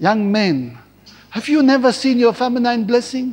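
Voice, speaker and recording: A man's extremely high-pitched voice at a fairly slow pace, warm and animated in tone, with lively intonation. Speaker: preacher. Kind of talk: sermon. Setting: church service broadcast on television. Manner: warm, animated pulpit delivery with call-and-response, pausing for amens.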